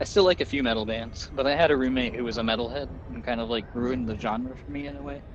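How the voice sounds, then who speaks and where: Talking at a very fast pace with hardly any pauses, a man with a medium-pitched voice makes very wide pitch swings and big jumps in loudness, amid noticeable background noise and audible room echo. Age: 30s. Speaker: video game streamer. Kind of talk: casual chat.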